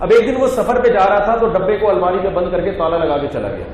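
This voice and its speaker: Noticeable background noise behind a man speaking with ordinary pitch variation. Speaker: Islamic scholar and preacher. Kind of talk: funny story told in a religious talk.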